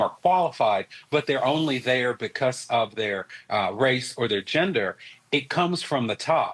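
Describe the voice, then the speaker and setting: A North Carolina accent on a very clean recording with a silent background. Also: man. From US South, North Carolina. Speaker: political analyst. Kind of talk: news interview.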